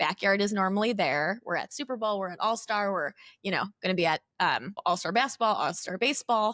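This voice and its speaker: Speaking at a very fast pace, a woman with a medium pitch and a bright, sharp tone shows ordinary pitch variation on a very clean recording with a silent background and a dry, close sound with no echo. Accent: Chicago. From Chicago suburbs, Illinois. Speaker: company CEO, former teacher. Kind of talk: casual interview chat.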